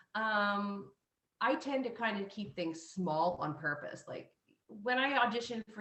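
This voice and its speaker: A woman with an American accent talks in a plain, everyday voice at a medium pitch. Her pace is moderate and her intonation lively. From Missouri. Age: 40s. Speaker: classical soprano. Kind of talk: interview.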